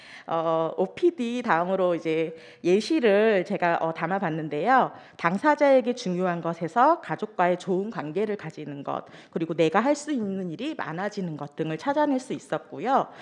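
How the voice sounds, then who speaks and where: Against a quiet background, a woman with a shaky voice at medium pitch speaks at a moderate pace with very wide pitch swings. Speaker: social welfare worker presenting program results. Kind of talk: conference presentation. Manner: trembling voice; hesitant with fillers.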